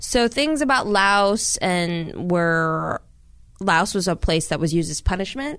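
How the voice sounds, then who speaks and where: In a plain, everyday voice, a woman with an American accent talks fairly slowly at a medium pitch with lively intonation. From US Midwest, Minnesota. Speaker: actress, comedian and documentary director. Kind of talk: casual interview chat.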